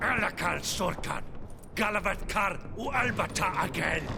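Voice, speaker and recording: A man puts on a character voice pitched high and speaks at a moderate pace. Loud background noise runs under him. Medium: video game. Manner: curt, angry.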